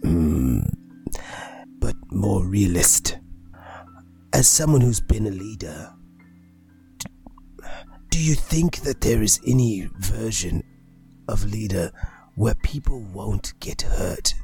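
A man's put-on character voice, fairly low in pitch with very wide pitch swings, fairly slow with long, frequent pauses, over clear background music. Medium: actual play. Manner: blunt, profane, coldly practical.

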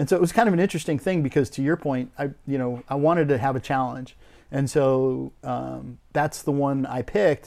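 With an American accent, a man speaks at a fairly quick pace in an ordinary speaking voice pitched fairly high. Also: ordinary pitch variation. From US Midwest (northern Minnesota). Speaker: winery owner. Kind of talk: interview.

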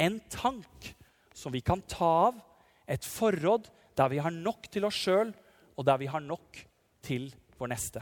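At a very slow pace with long, frequent pauses, a man with a high pitch speaks in very wide pitch swings. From Norway, Telemark (Nissedal). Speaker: parish priest. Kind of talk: sermon.

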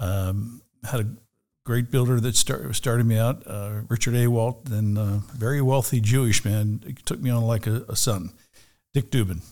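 On a very clean recording with a silent background, a man talks at a moderate pace and medium pitch, with fairly even intonation and a dark, mellow tone. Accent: American. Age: 60s. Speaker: real estate broker. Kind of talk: interview. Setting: studio.

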